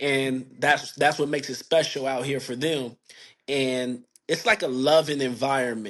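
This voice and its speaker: An unremarkable speaking voice from a man with an American accent, medium pitch, fairly even intonation and a moderate pace. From United States. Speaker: independent hip hop artist. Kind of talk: casual interview.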